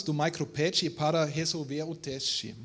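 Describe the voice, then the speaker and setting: Speaking with a non-native accent, a man is talking. His delivery is fairly slow. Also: very clean recording, silent background. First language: not Portuguese (speaking Portuguese). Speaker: industrial research manager. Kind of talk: reading aloud a prepared text. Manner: halting, many hesitations.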